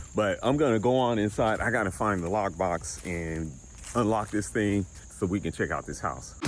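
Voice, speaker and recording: A man with a fairly low pitch at a moderate pace, lively intonation, and music in the background. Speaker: real estate appraiser and YouTuber. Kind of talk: casual vlog walkthrough. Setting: outdoors then inside a house.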